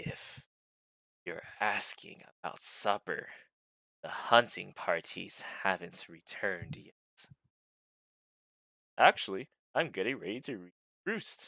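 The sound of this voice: A man puts on a raspy character voice at a medium pitch. He speaks at a fairly slow pace with long, frequent pauses.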